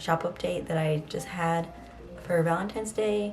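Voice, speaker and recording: Soft-spoken, a woman whispers. There is audible room echo and noticeable background noise. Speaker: artist and illustrator vlogger. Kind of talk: casual vlog talk to camera. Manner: soft-spoken, quiet; whispering.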